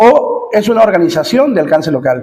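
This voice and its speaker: The man's voice sits at an extremely high pitch. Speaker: teacher. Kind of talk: lecture. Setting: classroom with students present. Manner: fast.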